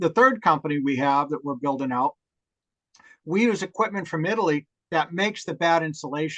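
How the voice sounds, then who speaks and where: Fairly quick and lively in intonation, a man's bright, sharp, fairly high voice comes through with a dry, close sound and no echo. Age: 60s. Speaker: hemp home builder, construction entrepreneur. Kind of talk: webinar talk, answering audience questions. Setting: live online talk, recorded.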